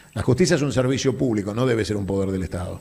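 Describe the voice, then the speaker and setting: This man speaks at a very fast pace. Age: 50s. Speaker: political speaker. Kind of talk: public Q&A talk.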